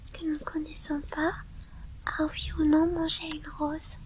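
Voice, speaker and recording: A soft-spoken woman talks very slowly at an extremely high pitch, with ordinary pitch variation. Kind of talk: book reading.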